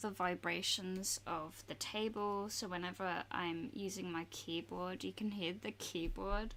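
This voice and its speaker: A soft-spoken woman with an Australian accent. Her pitch is medium and her pace fairly slow. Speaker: art streamer. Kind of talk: casual chat while drawing on livestream. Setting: home desk livestream. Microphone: sensitive studio mic on desk picks up vibrations.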